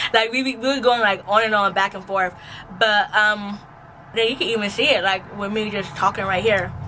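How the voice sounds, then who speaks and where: A woman's medium-pitched voice, with fairly even intonation, is heard against noticeable background noise. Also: moderate pace. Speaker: vlogger. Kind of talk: casual vlog talk.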